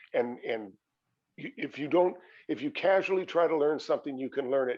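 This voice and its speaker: This man talks at a fairly quick pace with lively intonation and a fairly high pitch. He has a normal speaking voice. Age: 60s. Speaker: fitness instructor. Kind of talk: interview.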